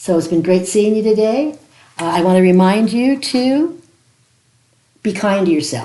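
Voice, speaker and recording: This woman's medium-pitched voice has a warm tone that is also dark and mellow, with lively intonation. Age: 80s+. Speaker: watercolor art teacher. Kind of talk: tutorial. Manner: casual, warm.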